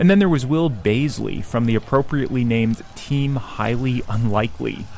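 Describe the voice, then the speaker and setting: A man with lively intonation talks at a moderate pace, with noticeable background noise and audible room echo around him. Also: medium pitch for a man. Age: 30s. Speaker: podcast host and traveller. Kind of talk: scripted narration.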